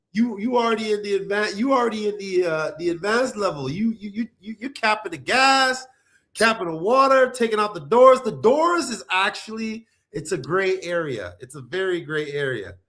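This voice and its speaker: With a slight New York accent, a man speaks at a moderate pace. His high-pitched voice has lively intonation. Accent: watered-down accent, sounds like New York. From Nigeria. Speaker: reality TV personality and real estate investor. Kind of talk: casual chat.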